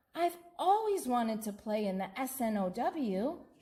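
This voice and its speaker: A woman puts on a character voice, pitched high. She talks at a moderate pace. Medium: read story. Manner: wondering, innocent.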